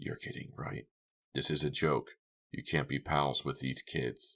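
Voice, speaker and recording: A raspy, very deep, low-pitched put-on character voice from a man at a moderate pace, dry and close with no echo. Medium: read story.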